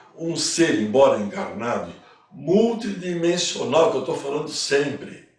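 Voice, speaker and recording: A man speaks with lively intonation, and echo from the room can be heard. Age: 80s+. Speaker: spiritual teacher. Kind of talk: lecture. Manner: casual.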